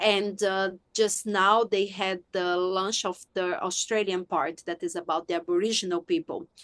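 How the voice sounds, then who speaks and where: A woman talks at medium pitch and a moderate pace, in a Brazilian accent. The sound is dry and close with no echo, her intonation fairly even and her pauses few. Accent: foreign accent, Brazilian. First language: Portuguese. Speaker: sex and relationship coach, author. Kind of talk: podcast interview.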